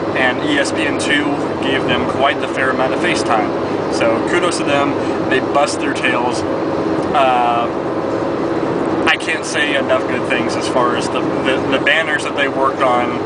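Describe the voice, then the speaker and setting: A man speaks fairly slowly amid loud background noise, and the sound is dry with no echo. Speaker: sports fan vlogger. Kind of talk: casual talk to camera, sports commentary vlog. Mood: upbeat, reflective. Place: car. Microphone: phone near.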